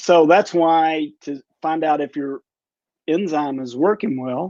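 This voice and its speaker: A man speaks in a plain, everyday voice at a fairly high pitch with ordinary pitch variation, the sound dry and close with no echo. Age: 60s. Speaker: physician. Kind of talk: interview.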